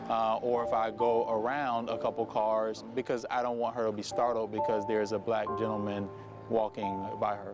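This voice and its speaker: The speech moves at a moderate pace with fairly even intonation. Music plays in the background. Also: man. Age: 30s. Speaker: interviewee. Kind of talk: testimony.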